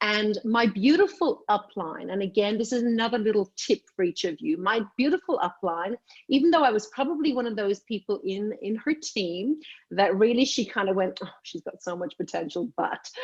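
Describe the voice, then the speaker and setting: A woman with an Irish accent speaks at a moderate pace and a fairly high pitch, with lively intonation. The sound is dry and close, with no echo. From Ireland, Dublin. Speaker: direct sales leader. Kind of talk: training call talk.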